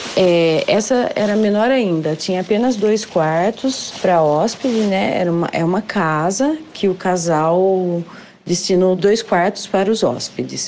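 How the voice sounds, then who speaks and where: A woman speaks at a very slow pace. Her voice sits at a medium pitch with ordinary pitch variation. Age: 40s. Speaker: civil servant. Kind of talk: testimony.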